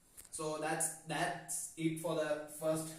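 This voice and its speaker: There is noticeable background noise and audible room echo behind this man's voice. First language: not English. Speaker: self-help youtuber. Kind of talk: informal explainer monologue. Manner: halting, many fillers and restarts.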